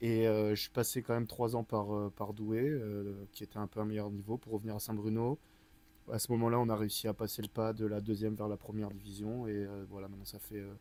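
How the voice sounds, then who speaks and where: A man talks at a fairly quick pace with fairly low pitch. His tone is dark and mellow, his intonation monotone and flat. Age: 20s. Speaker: water polo player, team captain. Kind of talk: casual interview.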